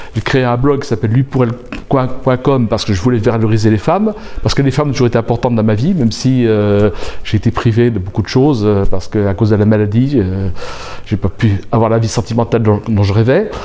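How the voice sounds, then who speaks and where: Amid noticeable background noise, a man talks at a fairly quick pace and medium pitch with ordinary pitch variation and very even loudness. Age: 60s. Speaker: aspiring coach. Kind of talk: interview. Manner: halting.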